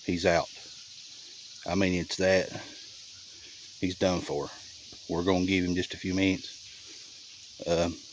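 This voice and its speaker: A man's very deep, low voice in a Southern US accent, monotone and flat, at a fairly slow pace with long, frequent pauses. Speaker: trapper. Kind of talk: casual field narration. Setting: outdoors. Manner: quiet, speaking low.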